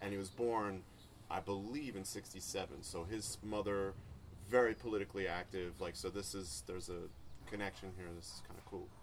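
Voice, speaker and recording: A man speaks in a plain, everyday voice at a fairly low pitch, keeping a moderate pace and ordinary pitch variation. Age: 40s. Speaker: music producer and podcast host. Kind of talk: casual chat.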